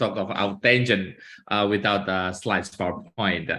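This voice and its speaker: With an Indonesian accent, a man speaks at a moderate pace in a fairly low pitch with a bright, sharp tone. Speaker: law professor. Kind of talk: academic presentation. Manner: halting, many filler sounds.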